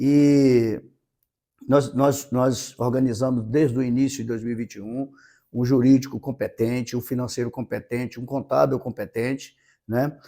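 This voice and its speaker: A man's dark, mellow, medium-pitched voice at a moderate pace, monotone and flat in intonation. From Maranhão, northeastern Brazil. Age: 50s. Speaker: city council president. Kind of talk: interview. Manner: halting, repeats words.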